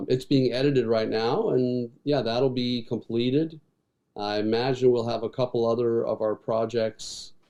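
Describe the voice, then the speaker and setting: A man speaks in a normal speaking voice at medium pitch, with fairly even intonation and a moderate pace. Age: 60s. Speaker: rock musician and filmmaker. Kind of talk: casual interview.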